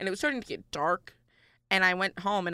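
Her voice at a medium pitch, a woman with an upstate New York accent talks at a fairly quick pace, the sound dry and close with no echo. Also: very clean recording, silent background. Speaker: college student podcast co-host. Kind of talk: casual chat. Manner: louder voice.

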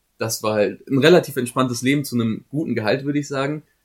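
Rattling along at a very fast pace, a man speaks with ordinary pitch variation. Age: 20s. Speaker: student podcast co-host. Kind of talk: casual chat. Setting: studio.

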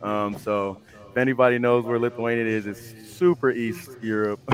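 An ordinary speaking voice: a man with an American accent, medium pitch, fairly even intonation, and a moderate pace. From Houston, Texas. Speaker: pro football player, army officer. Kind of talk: interview.

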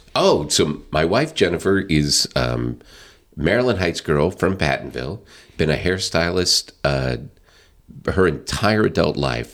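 Delivered at a fairly slow pace with very even loudness, the voice has lively intonation and vocal fry. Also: man, very deep, low pitch for a man. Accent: American. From US South (Northwest Arkansas). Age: 50s. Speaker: county councilman and business executive. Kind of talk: casual interview chat. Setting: studio.

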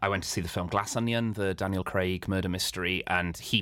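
Speaking with a Welsh accent, a man has a very deep, low pitch and a bright, sharp tone, moving at a fairly quick pace with fairly even intonation. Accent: soft Welsh accent in English. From Wales, Swansea. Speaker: comedian. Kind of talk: casual interview chat. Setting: in person.

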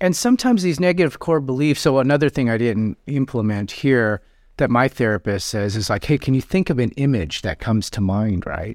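A man speaks in a normal speaking voice with an American accent, medium in pitch and at a fairly quick pace. The recording is very clean with a silent background and a dry, close sound with no echo. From US Pacific Northwest, South Seattle. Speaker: psychotherapist. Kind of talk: live therapy session; casual chat.

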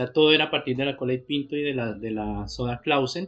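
A man is talking. His pace is very fast. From Colombia, Pamplona (Norte de Santander). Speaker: artist and art teacher. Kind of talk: casual interview. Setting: at his home.

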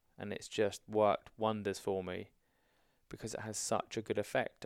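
A man with a southern English accent and a fairly low pitch speaks at a moderate pace in a monotone, flat intonation, with big swings in loudness. The sound is dry and close with no echo, on a very clean recording with a silent background. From southern England (Hampshire). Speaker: army veteran. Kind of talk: casual chat.

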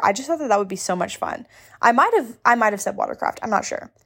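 A woman talks with lively intonation at a fairly high pitch. The recording is very clean, with a silent background. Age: 20s. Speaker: podcast host. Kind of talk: casual personal storytelling monologue. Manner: chatty, filler-heavy.

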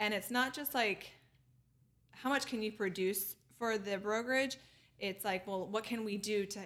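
A woman at medium pitch with ordinary pitch variation, a fairly slow pace, and long, frequent pauses. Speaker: real estate managing director. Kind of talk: casual podcast interview.

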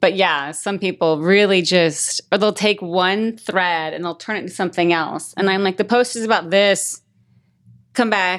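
In a normal speaking voice, a woman with an American accent talks at a medium pitch and a moderate pace. Her intonation is fairly even, and the background is quiet. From Las Vegas, Nevada. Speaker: author and life coach. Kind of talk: casual interview.

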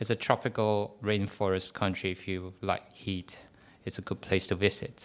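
A man with a Chinese accent and a fairly low voice talks at a moderate pace in a monotone with flat intonation. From Malaysia. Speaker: postdoctoral chemistry researcher. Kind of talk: interview. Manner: halting.

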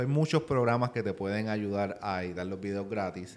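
On a very clean recording with a silent background, a man with a Puerto Rican accent speaks in a fairly low voice with ordinary pitch variation. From Puerto Rico. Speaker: finance YouTuber. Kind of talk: interview. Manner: fast.

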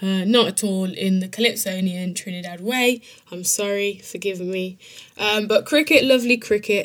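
The voice belongs to a woman. She speaks with a strong British accent. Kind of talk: casual narration with reading aloud of lyrics.

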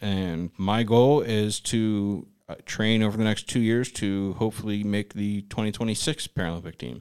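On a very clean recording with a silent background, a man with an American accent talks with hardly any pauses in a normal speaking voice, fairly low in pitch, with fairly even intonation. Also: moderate pace. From suburban Pittsburgh, Pennsylvania. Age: 20s. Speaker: podcast co-host, sled hockey player. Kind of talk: casual chat. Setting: studio.

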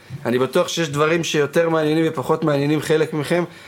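A man's unremarkable speaking voice sits at a fairly high pitch and moves at a moderate pace. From Yokneam, Israel. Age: 20s. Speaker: party producer and podcast host. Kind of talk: casual chat. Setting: studio.

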